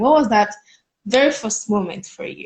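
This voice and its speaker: A woman with fairly high pitch, somewhat breathy, lively intonation and a moderate pace. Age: young. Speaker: student interviewer. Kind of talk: casual interview chat. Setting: live video call.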